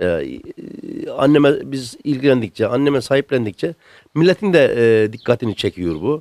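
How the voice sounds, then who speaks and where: At a moderate pace and medium pitch, a man uses lively intonation in a normal speaking voice, the sound dry with no echo and the background quiet. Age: 60s. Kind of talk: interview answer. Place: home room. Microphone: handheld.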